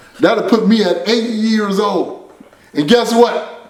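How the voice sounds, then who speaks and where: A man speaks in a high voice with an animated tone at a fairly slow pace. The recording has audible room echo and noticeable background noise. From San Francisco, Bayview Hunters Point. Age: 60s. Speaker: motivational speaker. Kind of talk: motivational address; casual interview chat.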